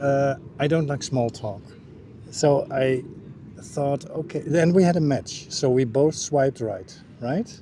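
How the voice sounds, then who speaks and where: A man talks at a fairly slow pace with long, frequent pauses. His voice is fairly high, somewhat breathy and dark and mellow in tone, with ordinary pitch variation. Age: 60s. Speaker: dating app match, interview guest. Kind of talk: casual chat. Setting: on camera.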